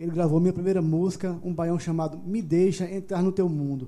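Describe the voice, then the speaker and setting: A man speaks with a Paraíba accent at a high pitch. His tone is dark and mellow, and his pace is moderate. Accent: Northeastern Brazilian (Paraíba). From João Pessoa, Paraíba, Brazil. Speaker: singer-songwriter. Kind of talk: casual chat, live-streamed podcast interview.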